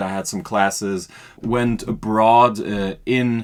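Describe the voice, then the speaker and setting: A man of medium pitch with a German accent, on a very clean recording with a silent background. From Austria. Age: 20s. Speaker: podcast guest, marketing worker. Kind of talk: casual interview. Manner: hesitant, many fillers.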